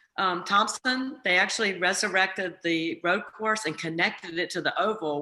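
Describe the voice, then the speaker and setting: An unremarkable speaking voice from a woman with an American accent, fairly low in pitch, at a moderate pace. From southern Virginia, US. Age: 60s. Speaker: racetrack owner and CEO. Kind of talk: casual storytelling on video call. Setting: video call.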